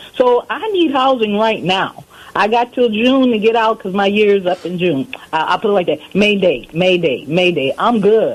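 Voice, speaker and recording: A woman talks at a moderate pace with lively intonation and a medium pitch. Noticeable background noise runs behind her. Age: 60s. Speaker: caller. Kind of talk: personal testimony.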